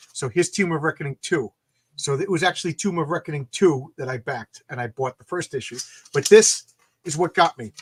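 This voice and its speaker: A man's fairly high voice with big swings in loudness, in a dry, close sound with no echo. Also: ordinary pitch variation. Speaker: comic book creator and YouTuber. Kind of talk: casual interview. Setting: live video call. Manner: halting, many repeated words.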